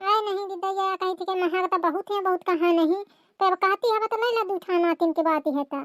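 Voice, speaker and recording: A female-sounding cartoonish character voice, pitched extremely high for a woman. It races along at a very fast pace. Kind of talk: village cartoon comedy. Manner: hesitant, evasive.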